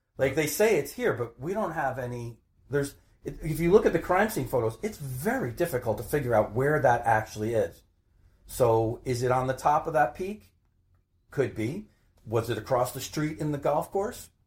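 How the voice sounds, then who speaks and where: A somewhat breathy voice with an American accent, moderate pace and lively intonation. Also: man, fairly high pitch for a man. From northern New Jersey (Maplewood). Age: 50s. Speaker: retired private investigator, cold case advocate. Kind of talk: interview. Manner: halting, repeats words.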